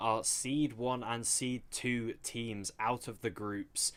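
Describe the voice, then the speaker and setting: A man speaks with a British accent at a medium pitch. The recording is very clean, with a silent background. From England. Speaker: esports caster. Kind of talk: live commentary.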